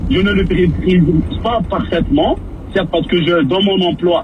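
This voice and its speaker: Noticeable background noise accompanies a man speaking in a high voice. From Maghreb, then Quebec from age 15. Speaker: caller. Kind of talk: radio call-in.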